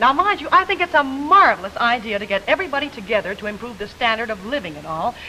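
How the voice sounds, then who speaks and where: Very fast speech with very wide pitch swings amid noticeable background noise. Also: woman. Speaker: singer and TV personality. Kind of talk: scripted comedic dialogue.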